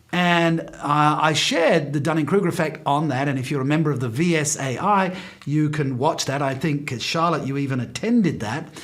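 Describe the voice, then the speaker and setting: Fairly high for a man, a male voice at a middling speed, pitch varying normally, amid noticeable background noise and audible room reverberation. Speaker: professional speaker. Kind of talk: talk to speakers association over video call. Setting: video call. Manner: pauses periodically.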